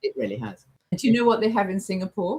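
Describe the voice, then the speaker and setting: The voice is somewhat breathy and animated in tone. It moves at a fairly quick pace. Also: woman. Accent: English. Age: 70s. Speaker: travel agent. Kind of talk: casual chat.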